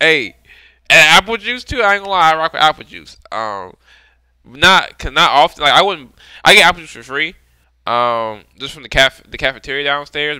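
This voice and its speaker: In a dry sound with no echo over a quiet background, a man speaks with very wide pitch swings and big swings in loudness. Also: moderate pace. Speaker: music reaction streamer. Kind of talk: casual vlog chat. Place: home room. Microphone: headset.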